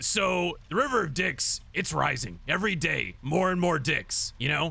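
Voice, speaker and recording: In a raspy, put-on character voice, a man speaks over light background noise. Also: moderate pace. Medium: audio drama. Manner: jokey, repetitive.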